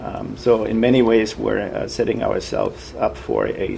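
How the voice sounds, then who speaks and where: Noticeable background noise sits behind this recording. Over it, a man delivers his words fairly slowly. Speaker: university professor and nuclear policy expert. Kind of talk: interview comment, explanatory. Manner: hesitant with frequent fillers, thoughtful.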